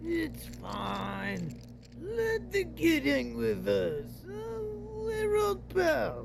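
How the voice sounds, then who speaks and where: A put-on character voice speaks at a very slow pace. Clear background noise can be heard. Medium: audio drama. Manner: casual, buddy-buddy.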